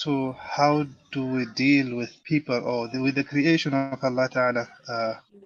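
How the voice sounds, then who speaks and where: Over music in the background, a man with a fairly high pitch speaks fairly slowly in a monotone, flat intonation. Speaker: Islamic scholar. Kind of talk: religious talk.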